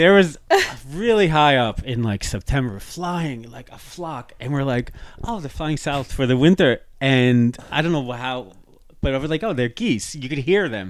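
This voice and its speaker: Lively intonation at a moderate pace, in an unremarkable speaking voice from a man with fairly high pitch. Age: 40s. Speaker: podcaster. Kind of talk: casual chat.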